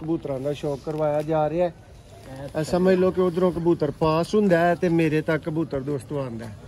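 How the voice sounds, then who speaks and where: Ordinary pitch variation in a man's fairly high voice, noticeable background noise behind it. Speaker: vlogger. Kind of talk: interviewer and talk to viewers.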